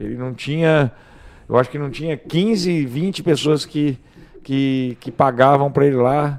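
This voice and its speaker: A man's fairly high-pitched, an unremarkable speaking voice at a fairly slow pace, with ordinary pitch variation. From Brazil, Mato Grosso (Rondonópolis). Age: 40s. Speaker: real estate broker. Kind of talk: casual chat.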